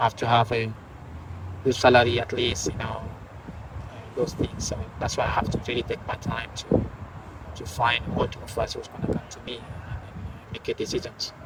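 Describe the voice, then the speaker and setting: Against noticeable background noise, a man of medium pitch speaks at a moderate pace with fairly even intonation. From Guinea. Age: 30s. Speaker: professional footballer. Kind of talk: interview. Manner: halting.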